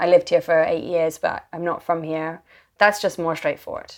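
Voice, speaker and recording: A woman with a British accent has a fairly low pitch and fairly even intonation. She speaks at a moderate pace over a quiet background. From England. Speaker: author and journalist. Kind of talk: podcast interview conversation.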